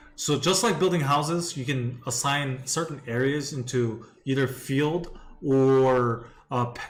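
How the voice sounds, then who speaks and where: A somewhat breathy voice with a non-native accent, ordinary pitch variation and audible room echo. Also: man. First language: not English. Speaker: gaming streamer. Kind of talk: live gameplay commentary. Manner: casual, repetitive.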